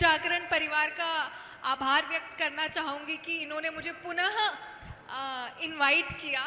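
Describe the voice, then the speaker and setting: A woman with a Kannada accent speaks at an extremely high pitch. Her voice is raised and projected. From India, Udupi, Karnataka. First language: Kannada (speaking Hindi). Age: 20s. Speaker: former student union president. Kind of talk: stage talk. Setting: stage with audience.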